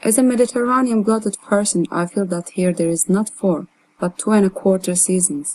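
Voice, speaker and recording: A woman speaks with a Turkish accent at a medium pitch. Her pace is fairly quick, with ordinary pitch variation. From Turkey. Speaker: artist. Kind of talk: reading aloud.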